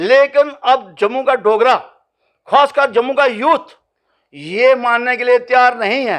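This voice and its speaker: With a passionate tone, a man speaks at an extremely high pitch with ordinary pitch variation against a quiet background. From Jammu, India. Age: 70s. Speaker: regional political activist. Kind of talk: news interview. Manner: passionate, forceful.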